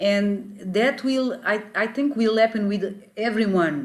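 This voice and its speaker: A woman speaks with a Portuguese accent at a fairly slow pace. Her fairly high voice is somewhat breathy, with ordinary pitch variation. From Mozambique. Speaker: spiritual teacher. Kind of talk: interview. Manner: halting.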